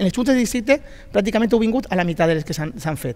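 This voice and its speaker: Lively intonation runs through this man's speech. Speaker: district council president; local politician in debate. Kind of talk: heated debate. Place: studio. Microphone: headset.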